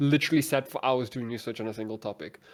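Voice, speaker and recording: A man mumbles at a moderate pace in a very clean recording with a silent background. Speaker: content creator. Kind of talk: casual chat. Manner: mumbling.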